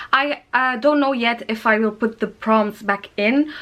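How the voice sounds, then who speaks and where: A woman's bright, sharp tone, with a non-native accent. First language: not English. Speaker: book youtuber. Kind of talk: casual vlog talk. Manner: halting.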